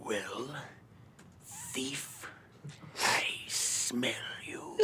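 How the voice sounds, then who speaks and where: The put-on character voice is raspy and sits at a low-to-middle pitch. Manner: menacing.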